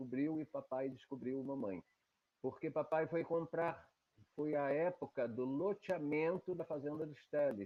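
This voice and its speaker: Fairly slow and fairly high-pitched, a man speaks. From Brazil, Baixada Fluminense (Rio de Janeiro state). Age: 70s. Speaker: interviewee recounting life story. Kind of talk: oral history testimony.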